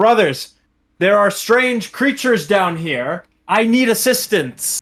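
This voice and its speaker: In a very clean recording with a silent background, a man does a put-on character voice, high-pitched and fairly slow. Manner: calling out to guards, feigning urgency.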